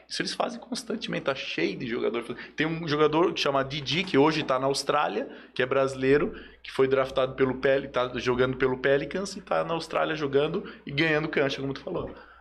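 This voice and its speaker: A man at a very fast pace, fairly high in pitch, with lively intonation. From Joinville, Santa Catarina, Brazil. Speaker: sports agent. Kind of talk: casual chat.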